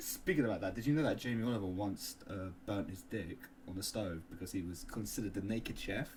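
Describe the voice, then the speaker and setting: A man in a Cockney accent at a medium pitch, with very wide pitch swings and a very fast pace. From London. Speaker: podcast co-host. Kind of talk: casual chat.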